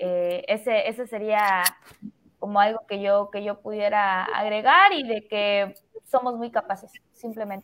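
A woman with a normal speaking voice talks at a fairly slow pace, her pitch fairly high and her intonation fairly even. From Mexico, Chiapas (Tuxtla Gutiérrez). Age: 20s. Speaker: marketer and entrepreneur. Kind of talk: casual chat.

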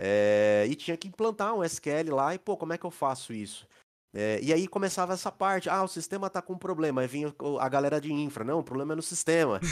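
A man speaks in a normal speaking voice, fairly high in pitch, at a fairly quick pace with lively intonation. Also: very clean recording, silent background. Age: 40s. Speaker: IT consulting company co-owner. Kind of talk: casual interview.

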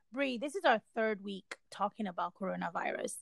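A woman with an unremarkable speaking voice talks at a moderate pace, her fairly high pitch carrying lively intonation, in a dry, close sound with no echo. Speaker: podcast host. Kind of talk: casual chat.

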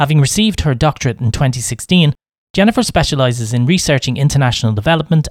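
A man with an Irish accent talks at a very fast pace, his fairly high, somewhat breathy voice full of lively intonation, the sound dry and close with no echo. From Ireland. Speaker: podcast host. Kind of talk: scripted intro; casual interview.

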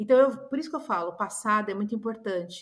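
Using a normal speaking voice, a woman speaks at a medium pitch with ordinary pitch variation. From Brazil. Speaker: image consultant. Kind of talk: podcast interview.

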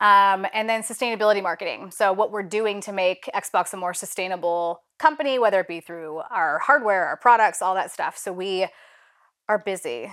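At a moderate pace, a woman speaks in a normal speaking voice with medium pitch and ordinary pitch variation, recorded very cleanly against a silent background. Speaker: head of social impact. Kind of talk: casual chat.

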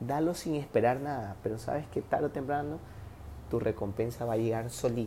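With a dark, mellow tone and a medium pitch, a man speaks at a fairly quick pace with ordinary pitch variation. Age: 20s. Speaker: podcast host, physiotherapist. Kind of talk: casual monologue giving relationship advice. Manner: animated.

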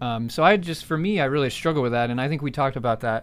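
Speaking with an American accent and lively intonation, a man uses a normal speaking voice at a medium pitch, captured on a very clean recording with a silent background. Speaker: podcast host. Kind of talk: casual chat. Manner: joking, laid-back.

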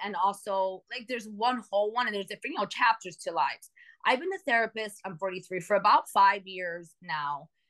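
An animated, passionate woman with an American accent talks at a fairly quick clip, her medium-pitched voice bright and sharp. Her loudness swings widely. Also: hardly any pauses. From New York City, Dominican parents. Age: 40s. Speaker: therapist and coach. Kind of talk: casual interview chat. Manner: animated, passionate, talks with hands.

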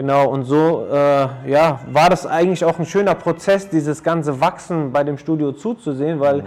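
A man with an unremarkable speaking voice talks at a moderate pace with hardly any pauses, his fairly high pitch showing ordinary variation. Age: 30s. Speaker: athletic trainer and personal coach. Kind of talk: casual interview. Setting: his training studio.

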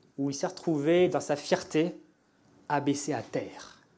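Audible room echo surrounds a man with a dark, mellow tone and ordinary pitch variation. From France. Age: 30s. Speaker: former fighter pilot. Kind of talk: testimony. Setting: church.

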